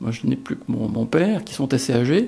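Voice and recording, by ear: A man's vocal fry with a slightly mellow tone at a moderate pace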